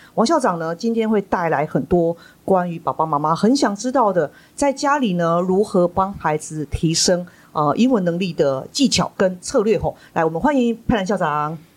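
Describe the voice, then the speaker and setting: A woman's medium-pitched, normal speaking voice with lively intonation at a moderate pace. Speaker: school principal and podcast host. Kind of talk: interview hosting.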